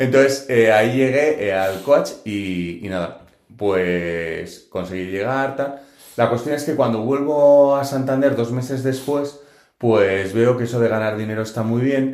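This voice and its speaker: Audible room echo surrounds a man speaking at a fairly slow pace. His medium pitch shows ordinary variation. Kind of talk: testimony.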